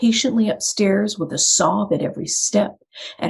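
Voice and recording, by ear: The speaker is reading aloud in a natural voice. The words are read out in full.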